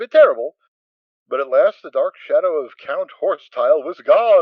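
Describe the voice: A man speaks at a moderate pace in a medium pitch with big pitch swings, the sound dry and close with no echo.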